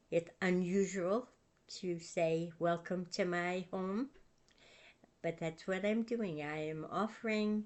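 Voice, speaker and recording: A very slow, gentle, calm woman's voice of medium pitch with ordinary pitch variation. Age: 80s+. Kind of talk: casual talk to camera.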